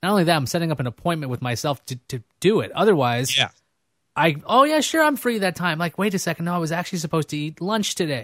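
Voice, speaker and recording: Speaking at a very fast pace with lively intonation, a man with a high pitch and an American accent is heard in a very clean recording with a silent background and a dry, close sound with no echo. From New York City (Queens). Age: 30s. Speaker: podcast host. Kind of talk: casual chat. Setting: studio.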